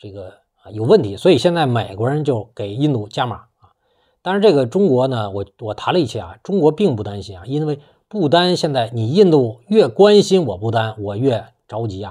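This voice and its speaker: A man with a dark, mellow tone, very wide pitch swings and big swings in loudness at a moderate pace, against a quiet background. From China. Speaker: political commentator YouTuber; political commentator. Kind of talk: monologue commentary. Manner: casual with frequent filler particles. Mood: assertive, opinionated. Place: home room.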